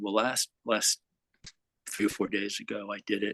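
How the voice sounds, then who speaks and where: A man speaks at a fairly low pitch with a bright, sharp tone in a dry, close sound with no echo. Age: 60s. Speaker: satsang participant. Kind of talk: personal sharing in spiritual group.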